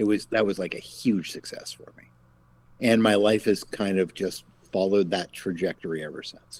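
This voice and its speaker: A plain, everyday voice at a moderate pace, fairly even in intonation but with big swings in loudness. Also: man, fairly low pitch for a man. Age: 50s. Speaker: game company founder. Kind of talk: casual chat.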